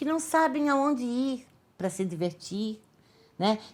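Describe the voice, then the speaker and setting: A woman speaks with very wide pitch swings. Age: 60s. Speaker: artist and actress. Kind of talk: documentary interview. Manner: casual, with many hesitations and repeated words.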